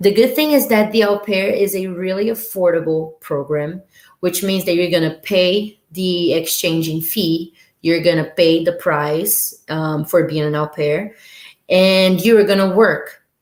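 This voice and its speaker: With a Brazilian Portuguese accent, a woman speaks at a fairly slow pace in a medium pitch with ordinary pitch variation. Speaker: au pair, former student. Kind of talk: live stream talk. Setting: live stream.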